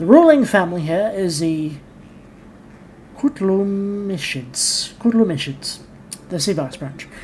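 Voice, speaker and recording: Over audible room echo, a woman with an English accent speaks at a fairly slow pace in a medium pitch, with very wide pitch swings, big swings in loudness, and long, frequent pauses. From England. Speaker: gaming YouTuber. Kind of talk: game commentary with reading aloud.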